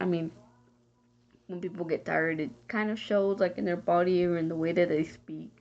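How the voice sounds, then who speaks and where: A woman speaks at a moderate pace with an American accent, music playing in the background. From Texas. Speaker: college student and emergency dispatcher. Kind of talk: class discussion answer, casual monologue. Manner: halting, with fillers.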